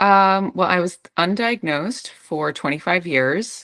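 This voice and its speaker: A woman with an American accent talks in a bright, sharp tone with ordinary pitch variation. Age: 40s. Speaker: author and speaker on PMDD. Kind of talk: interview, personal testimony.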